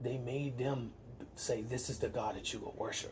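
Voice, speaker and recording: Flat, monotone intonation from a man of medium pitch, with noticeable background noise. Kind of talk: casual conversation.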